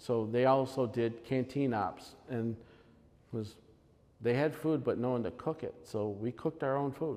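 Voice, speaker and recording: The voice moves at a fairly slow pace with a dark, mellow tone and ordinary pitch variation. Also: man, medium pitch for a man. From Upstate New York. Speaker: amateur radio presenter. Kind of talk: presentation. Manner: halting.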